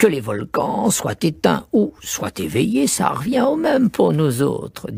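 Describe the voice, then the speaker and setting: In a put-on character voice, a man talks at a fairly slow pace and a fairly high pitch. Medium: read story. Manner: dry, pedantic.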